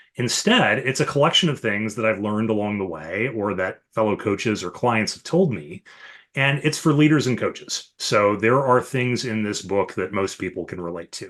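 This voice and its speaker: Here is a man with a normal speaking voice and an American accent. His pitch is fairly low, and his intonation is lively. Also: moderate pace, quiet background. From US Midwest, Chicago area. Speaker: leadership coach and author. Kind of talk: podcast interview.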